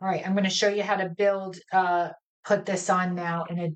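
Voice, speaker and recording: A woman's medium-pitched voice at a moderate pace. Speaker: cardmaking instructor. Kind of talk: live crafting tutorial. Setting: live stream. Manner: mumbles to herself at times; casual, halting.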